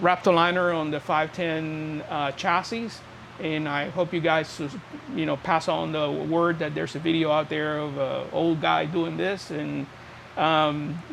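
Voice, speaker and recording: Amid noticeable background noise, a man talks at a fairly slow pace in a fairly high pitch with fairly even intonation. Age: 60s. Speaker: car restoration hobbyist. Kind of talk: casual video tutorial. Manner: halting, many fillers.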